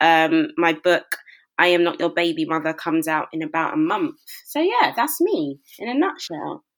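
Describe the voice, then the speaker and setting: A woman in a London accent at a moderate pace. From South London (Brixton). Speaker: broadcaster and author. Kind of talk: interview.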